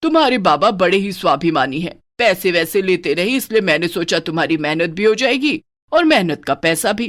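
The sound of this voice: A cartoonish character voice at a middle pitch moves at a fairly quick pace over a very clean recording with a silent background.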